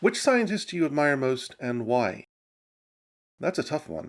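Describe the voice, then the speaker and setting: In an American accent, a man speaks at a fairly high pitch with vocal fry and very wide pitch swings. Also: very clean recording, silent background. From mixed US and UK upbringing. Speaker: science YouTuber. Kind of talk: Q&A answering viewer questions.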